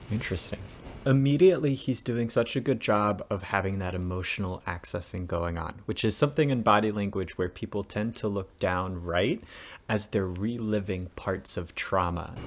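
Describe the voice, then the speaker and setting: A man's fairly low voice at a moderate pace, ordinary pitch variation, light background noise. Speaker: acting coach reacting to audition. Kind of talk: reaction commentary. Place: home room.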